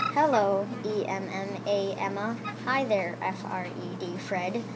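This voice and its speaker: A woman's put-on character voice at medium pitch, over loud background noise. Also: fairly slow pace. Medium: read story. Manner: polite, gentle.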